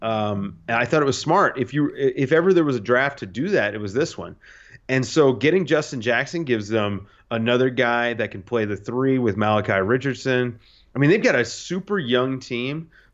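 An ordinary speaking voice with lively intonation, delivered at a moderate pace. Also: man, medium pitch for a man. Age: 30s. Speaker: basketball coach. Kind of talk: casual chat.

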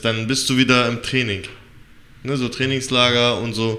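In a room with audible echo, the voice has a bright, sharp tone and a monotone, flat intonation at a moderate pace. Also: man. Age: 30s. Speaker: podcast co-host and MMA trainee. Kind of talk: interview.

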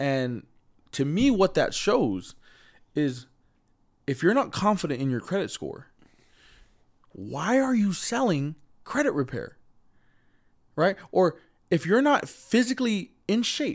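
A man with a high pitch and very wide pitch swings, in an American accent, at a fairly slow pace, on a very clean recording with a silent background. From US West (Utah). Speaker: entrepreneur. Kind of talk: casual interview. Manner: halting when nervous.

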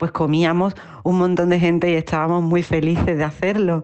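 A woman talks at a moderate pace with a medium pitch. She has a plain, everyday voice. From Andalusia, Spain (Utrera, Seville). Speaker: singer and performer. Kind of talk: interview.

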